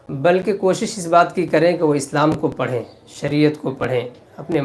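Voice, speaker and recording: Pitched fairly high, a man with a normal speaking voice talks with ordinary pitch variation. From India. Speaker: Islamic cleric. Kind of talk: religious sermon.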